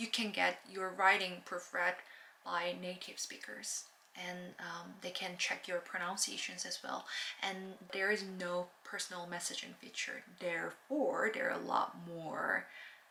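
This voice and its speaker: In a Korean accent, a woman speaks fairly slowly with fairly even intonation over noticeable background noise. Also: medium pitch for a woman. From South Korea. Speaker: language learning vlogger. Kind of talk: casual vlog talk. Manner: halting, many fillers and restarts; stutters.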